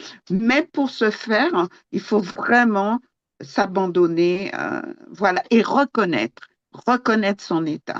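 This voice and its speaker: Speaking very slowly with lively intonation, a woman with a medium pitch is heard in a dry, close recording with no echo. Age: 70s. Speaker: Bible study participant. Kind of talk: group Bible study discussion. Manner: halting, many fillers.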